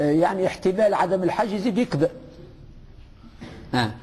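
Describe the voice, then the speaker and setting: A man speaks with a Tunisian accent, his high voice full of lively intonation. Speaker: religious teacher. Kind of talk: religious lesson. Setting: mosque. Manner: conversational, with fillers and hesitations.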